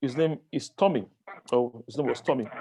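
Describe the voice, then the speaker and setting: A man's voice, fairly high for a man, with ordinary pitch variation. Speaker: book reviewer. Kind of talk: book review talk to a group. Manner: halting, many fillers.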